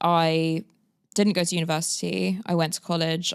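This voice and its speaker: With a London accent, a woman speaks in a monotone, flat intonation at a fairly low pitch and moderate pace, on a very clean recording with a silent background. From London, England. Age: 30s. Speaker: agency founder. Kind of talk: podcast interview.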